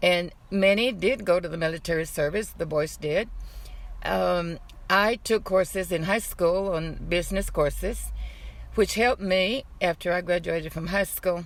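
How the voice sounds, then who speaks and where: This woman has an American accent and a fairly low pitch with vocal fry. She talks at a moderate pace with ordinary pitch variation. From South Texas (Kingsville), Mexican American. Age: 80s+. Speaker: retired civil servant. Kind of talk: oral history interview.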